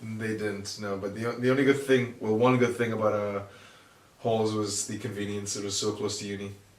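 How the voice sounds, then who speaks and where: A man with a fairly low pitch talks at a fairly quick pace in a monotone, flat way, with audible room echo around him. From Singapore. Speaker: engineering graduate. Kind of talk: casual chat. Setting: home recording in shared flat.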